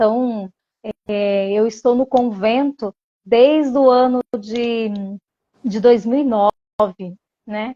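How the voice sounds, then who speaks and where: A woman speaks at a very slow pace with fairly even intonation and a fairly high pitch. The sound is dry and close, with no echo. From Brazil, Cuiabá (Mato Grosso). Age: 30s. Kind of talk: interview.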